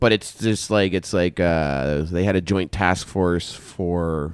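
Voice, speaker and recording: A man talks with a Canadian accent in a very deep, low pitch. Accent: stereotypically Canadian. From Canada. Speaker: podcast host, military veteran. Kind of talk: casual chat.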